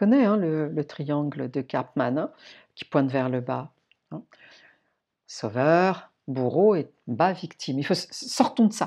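A woman speaks at a very slow pace with long, frequent pauses, her very deep, low voice warm in tone, dark and mellow, with lively intonation. The background is quiet. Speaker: podcast host, personal development coach. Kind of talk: solo podcast monologue. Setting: staying alone at a friend's house in the countryside. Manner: warm, conversational.

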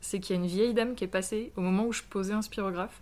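Her pitch in the middle range, a woman speaks with intonation that stays fairly level. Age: 30s. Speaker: street artist. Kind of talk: interview.

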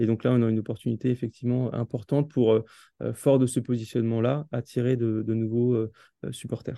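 Fairly quick speech from a man at medium pitch, monotone and flat, with a dark, mellow tone. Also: very even loudness, dry, close sound with no echo. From Alsace, France. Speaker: football club marketing director. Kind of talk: interview. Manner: halting, with many repetitions and fillers.

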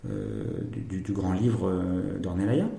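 Amid audible room echo, a man speaks at a moderate pace in a dark, mellow tone that is somewhat breathy. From France, Bordeaux. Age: 40s. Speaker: wine estate director. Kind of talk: interview. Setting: tasting room at a wine estate.

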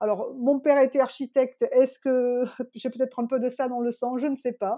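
A woman speaks in a high voice with a dark, mellow tone at a fairly slow pace. It is a very clean recording with a silent background. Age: 50s. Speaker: real estate agent. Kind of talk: interview. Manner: halting.

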